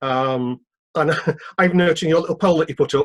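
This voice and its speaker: With a British accent, a man speaks at a moderate pace, the sound dry and close with no echo. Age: 60s. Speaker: freelance TV worker. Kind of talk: meeting question.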